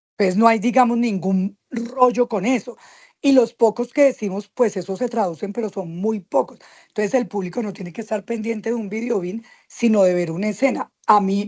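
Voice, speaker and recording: A woman's fairly high, plain, everyday voice at a moderate pace, with ordinary pitch variation. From Colombia. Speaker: stage and screen actress. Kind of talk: interview.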